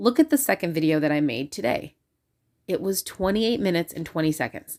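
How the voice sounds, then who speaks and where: A woman speaks quietly at a fairly quick pace, her pitch fairly low and her intonation lively. The recording is very clean, with a silent background. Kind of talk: casual vlog monologue. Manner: quiet, hushed.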